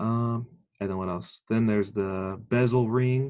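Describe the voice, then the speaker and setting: This is an ordinary speaking voice with fairly even intonation. It moves at a fairly slow pace against a quiet background. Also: man. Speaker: military training instructor. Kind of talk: lecture.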